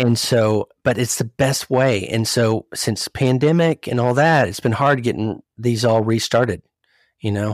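A man with an unremarkable speaking voice talks at a medium pitch and fairly slow pace with ordinary pitch variation. The recording is very clean, with a silent background and a dry, close sound with no echo. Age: 40s. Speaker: CEO of a professional network. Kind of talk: casual chat.

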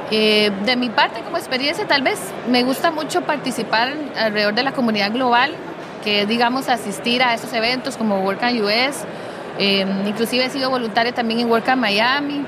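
Against noticeable background noise and audible room echo, a woman speaks at a high pitch and moderate pace, keeping her loudness very even and her pitch variation ordinary. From Costa Rica. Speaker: community organizer. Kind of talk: casual chat.

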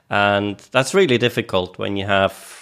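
This man has a fairly low pitch and a normal speaking voice. His intonation stays fairly even. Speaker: co-host interviewer. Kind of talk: casual interview chat.

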